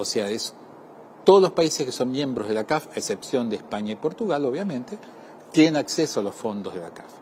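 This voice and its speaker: With an Argentine accent, a man of medium pitch talks at a fairly quick pace, his pitch swinging very widely and his loudness changing in big swings. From Argentina. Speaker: development bank representative. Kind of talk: interview.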